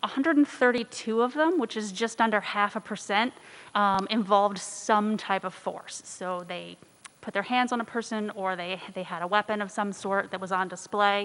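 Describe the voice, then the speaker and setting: Her pitch is medium for a woman. This woman uses ordinary pitch variation. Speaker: criminal justice professor. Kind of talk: presentation to city committee. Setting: city council meeting. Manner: fast.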